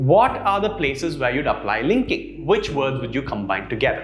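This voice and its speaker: Music plays in the background while a man speaks. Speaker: English pronunciation coach. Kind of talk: educational lesson to camera.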